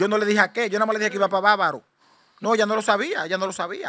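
A man speaks at a very fast pace in a raised, projected voice with a high pitch. His tone is bright and sharp, and his intonation is fairly even. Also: quiet background. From Dominican Republic. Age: 40s. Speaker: shipwreck survivor. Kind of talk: interview testimony. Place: home room. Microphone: handheld.

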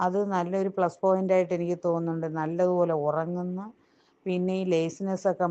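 A woman is talking. Her pitch is medium. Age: 50s. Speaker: nurse. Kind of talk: testimony. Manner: halting.

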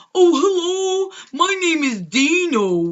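In a put-on character voice at an extremely high pitch, the speaker talks at a fairly slow pace. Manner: kind.

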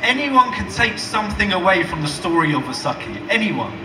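Over noticeable background noise, a man speaks in a raised, projected voice at a moderate pace. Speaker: speaker. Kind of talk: public speech, storytelling. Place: stage.

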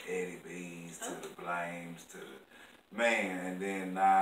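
A man speaks at a very slow pace in a Southern US accent, his voice very deep and low. Audible room echo and light background noise surround him. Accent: southern drawl. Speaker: stand-up comedian; interview guest. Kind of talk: casual, slang-heavy. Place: home room. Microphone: camera far.

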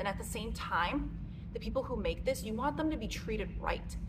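Moderately paced speech from a woman amid noticeable background noise. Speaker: clothing reviewer. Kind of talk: casual vlog chat. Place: gym.

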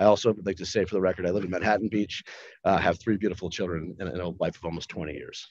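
Very deep, low-pitched male voice with an American accent, very fast pace, dry sound with no echo, quiet background. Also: fairly even intonation. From US Midwest, Cleveland, Ohio; Ohio. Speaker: investment fund manager. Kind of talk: formal hearing testimony. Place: meeting room. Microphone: podium.

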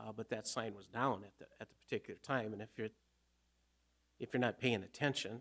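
A man talks at a moderate pace with a fairly low pitch and vocal fry. His intonation stays fairly even.

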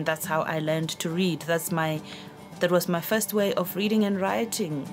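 With clear music in the background, a woman speaks at a moderate pace in a fairly low-pitched voice with ordinary pitch variation. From South Africa. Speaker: journalist and radio news reader. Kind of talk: interview answer about reading. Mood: warm, reflective. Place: studio.

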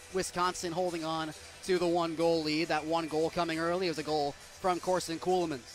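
Over music in the background, a man talks at a fairly quick pace in a high pitch. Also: very even loudness. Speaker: hockey play-by-play broadcaster. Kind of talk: live radio hockey play-by-play call. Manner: fast, excited.

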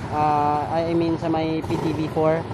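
The sound is dry with no echo, though loud background noise runs underneath. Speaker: vlogger filming a road trip. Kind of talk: casual vlog chat. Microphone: phone near.

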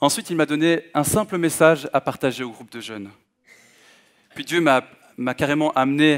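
At a moderate pace and fairly high pitch, a man speaks with ordinary pitch variation and big swings in loudness, over a quiet background. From Belgium (Hainaut, Manage); Belgium. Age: 20s. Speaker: guest preacher. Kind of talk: sermon. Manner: halting, frequent hesitations. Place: church. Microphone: headset.

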